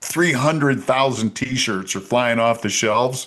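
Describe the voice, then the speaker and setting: Speaking in a normal speaking voice, a man keeps to a medium pitch and shows ordinary pitch variation. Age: 60s. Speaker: politician. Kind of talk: interview.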